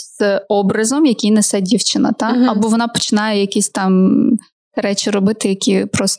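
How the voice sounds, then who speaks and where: This is an unremarkable speaking voice, and its pitch variation is ordinary. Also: woman. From Ukraine, Kharkiv. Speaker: podcast host. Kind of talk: casual interview. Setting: studio.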